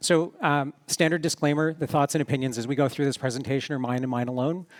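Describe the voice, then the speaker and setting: Here a man talks at a very fast pace in a fairly high voice. His intonation stays fairly even. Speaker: security professional. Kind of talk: conference talk. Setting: stage with audience. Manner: halting, many fillers.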